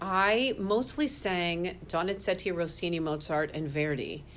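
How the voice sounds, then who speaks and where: A woman's voice with hardly any pauses. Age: 60s. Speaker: opera singer. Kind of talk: interview. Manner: halting.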